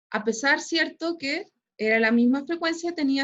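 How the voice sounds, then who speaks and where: A woman talks fairly slowly, her high voice carrying lively intonation. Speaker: school physics teacher. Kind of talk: online class lecture. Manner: frequent filler tags like ¿cierto? and ¿ya?.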